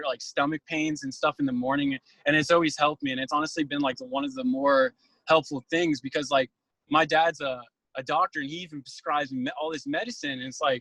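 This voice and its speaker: Talking at a very fast pace with an American accent, a man uses a fairly high pitch, a bright, sharp tone and fairly even intonation, in a dry, close sound with no echo. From Northern Virginia. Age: 20s. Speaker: job applicant. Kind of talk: job interview. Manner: hesitant, many fillers.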